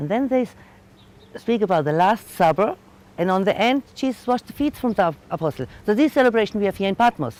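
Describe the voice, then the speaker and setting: A woman with a German accent at medium pitch, very fast, with very wide pitch swings. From Germany. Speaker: tour guide. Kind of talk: guided tour talk. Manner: halting.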